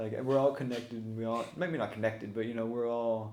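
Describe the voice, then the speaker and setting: A man talks fairly quickly at medium pitch in a monotone, flat delivery. Room echo is audible around him. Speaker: podcast host. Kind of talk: casual chat. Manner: halting.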